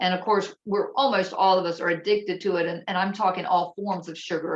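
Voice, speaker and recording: This woman has a normal speaking voice with an American accent. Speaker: holistic health presenter. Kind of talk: presentation.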